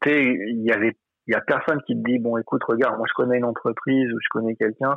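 Very fast male speech, interrupted often by long pauses. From France, Seine-Saint-Denis (Paris suburbs). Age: 30s. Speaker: French immigrant in Quebec. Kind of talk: casual interview chat. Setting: phone call. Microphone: phone.

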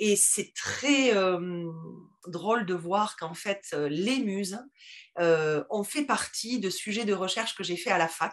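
A woman's medium-pitched voice with lively intonation, at a very slow pace. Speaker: teacher and podcast founder. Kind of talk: interview. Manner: halting.

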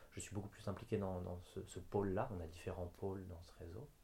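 A man's somewhat breathy voice, fairly low in pitch, with a dark, mellow tone and a fairly quick pace. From France. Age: 20s. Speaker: health network founder. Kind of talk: interview. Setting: La Rochelle. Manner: halting.

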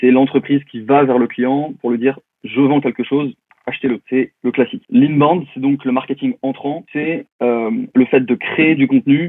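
Fairly slow and with fairly even intonation, a man talks at a medium pitch in a plain, everyday voice. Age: 30s. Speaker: digital consultant and LinkedIn trainer. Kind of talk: podcast interview.

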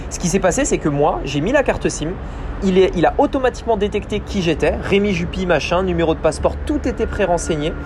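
The man talks fairly fast while noticeable noise hums in the background. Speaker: podcast host, online business coach. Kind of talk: solo business podcast monologue. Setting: outdoors on a balcony.

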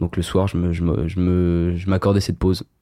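Very deep and low in pitch, a man speaks in a dark, mellow tone with flat, monotone intonation on a very clean recording with a silent background. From Paris, France. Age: 20s. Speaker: medical student. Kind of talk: casual interview chat. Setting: host's home.

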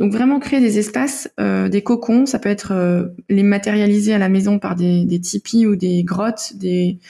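A woman's somewhat breathy, dark and mellow voice at medium pitch, with ordinary pitch variation. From Denmark. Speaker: naturopath and author. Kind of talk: interview. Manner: hesitant, many fillers.

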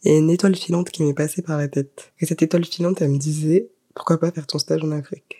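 A woman with a very deep, low pitch and a dark, mellow tone talks at a fairly quick pace, her intonation fairly even. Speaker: podcaster. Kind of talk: personal storytelling. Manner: casual, hesitant with fillers.

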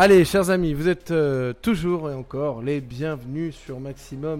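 An animated tone at a fairly slow pace, with hardly any pauses, big swings in loudness, and ordinary pitch variation. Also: man. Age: 20s. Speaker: radio host. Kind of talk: radio show presenting.

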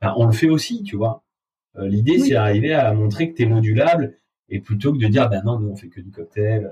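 A man's medium-pitched, somewhat breathy voice with a dark, mellow tone, a fairly quick pace, ordinary pitch variation and big swings in loudness. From southern France, Avignon. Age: 20s. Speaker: bar owner. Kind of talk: interview. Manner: hesitant, many fillers.

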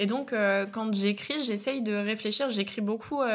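On a very clean recording with a silent background, a woman speaks in a plain, everyday voice at a fairly high pitch. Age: 20s. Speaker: comedian. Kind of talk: casual chat.

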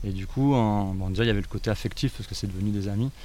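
Fairly low in pitch, a man talks at a very fast pace. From France, Ardèche. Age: 40s. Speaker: eco-site co-founder, carpenter. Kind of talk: interview. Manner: halting.

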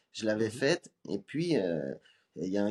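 Heard in a dry, close sound with no echo, a man has a plain, everyday voice, speaking at a moderate pace with lively intonation. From Lyon area, France. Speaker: comedian and beatboxer. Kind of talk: casual interview chat.

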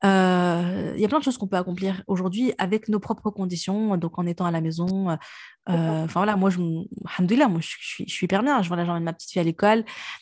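Her medium pitch showing ordinary variation, a woman speaks at a fairly quick pace. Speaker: podcast host. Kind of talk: casual chat. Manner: talkative.

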